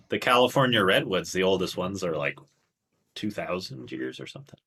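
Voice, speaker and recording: Very deep and low-pitched, a man speaks at a very fast pace in a bright, sharp tone with vocal fry and very wide pitch swings. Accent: Canadian. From Canada, Toronto. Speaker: qigong instructor. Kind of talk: casual interview chat.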